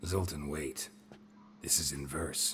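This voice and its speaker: A man's put-on character voice, very deep and low, deadpan in tone, over clear background noise. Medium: video game. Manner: terse, deadpan.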